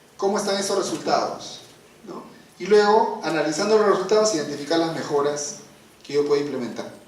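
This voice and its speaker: Noticeable background noise and audible room echo surround a man with a high pitch and ordinary pitch variation. He talks at a fairly quick pace, with big swings in loudness. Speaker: trainer on accreditation. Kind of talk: training workshop. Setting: auditorium with audience. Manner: fast.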